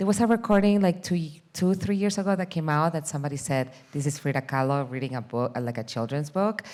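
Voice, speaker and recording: A fairly quick voice with a Peruvian accent and very wide pitch swings, in a very clean recording with a silent background. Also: woman. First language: Spanish. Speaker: documentary film director. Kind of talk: panel discussion. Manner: hesitant, many fillers.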